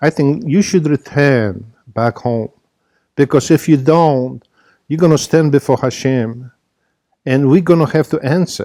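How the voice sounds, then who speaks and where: A man with a dark, mellow tone speaks at a moderate pace, the sound dry and close with no echo. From Poland, born in a concentration camp. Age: 70s. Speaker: Holocaust survivor and former minister. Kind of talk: personal testimony. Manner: halting, with repeated false starts.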